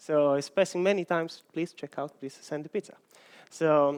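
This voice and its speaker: A man with an Italian accent and a high pitch speaks at a moderate pace in a very clean, dry, close recording with no echo and a silent background. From Italy. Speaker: software engineer. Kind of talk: conference talk.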